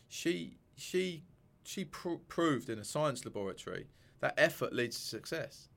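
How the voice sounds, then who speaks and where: Lively intonation and vocal fry mark a man with a southern English accent at a fairly high pitch. He speaks at a fairly slow pace in a very clean recording with a silent background. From Sussex, England. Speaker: mindset coach and author. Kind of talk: casual interview. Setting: studio.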